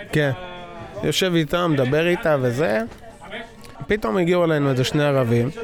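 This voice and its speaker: Over noticeable background noise, a man speaks fairly quickly at a fairly high pitch with ordinary pitch variation. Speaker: reserve soldier. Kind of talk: interview. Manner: halting.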